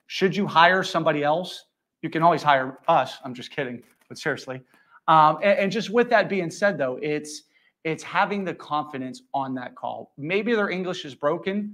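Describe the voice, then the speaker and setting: A man with an American accent and a normal speaking voice, fairly high in pitch, at a moderate pace, with ordinary pitch variation and big swings in loudness. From United States. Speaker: sales executive. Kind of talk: panel discussion at live business event.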